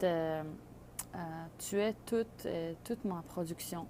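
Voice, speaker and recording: A woman with a non-native accent, fairly low pitch and a fairly slow pace. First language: not French (speaking French). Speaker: microgreens grower. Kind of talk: tutorial. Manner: halting, many fillers.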